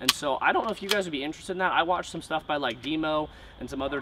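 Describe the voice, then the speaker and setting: Over loud background noise, a man speaks at a very fast pace with fairly even intonation. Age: 20s. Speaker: YouTuber, airsoft product reviewer. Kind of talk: casual unboxing video monologue. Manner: casual, filler-heavy. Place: garden.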